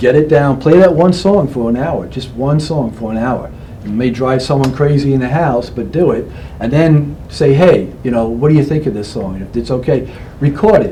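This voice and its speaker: Noticeable background noise and audible room echo around speech at a moderate pace, its pitch variation ordinary. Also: man, fairly high pitch for a man. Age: 60s. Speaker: local guitarist and performer. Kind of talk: casual interview chat.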